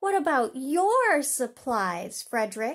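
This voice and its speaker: A woman puts on a character voice, high-pitched with very wide pitch swings. She delivers it at a fairly slow pace. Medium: read story.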